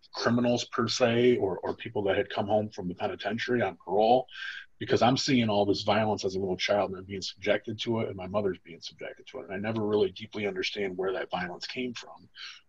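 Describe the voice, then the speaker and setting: A man with an American accent talks at a very fast pace in a fairly low, somewhat breathy voice. His intonation stays fairly even. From Toledo, Ohio, US Midwest. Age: 40s. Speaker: formerly incarcerated trauma educator. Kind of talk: training lecture with personal testimony. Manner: casual, filler-heavy speech.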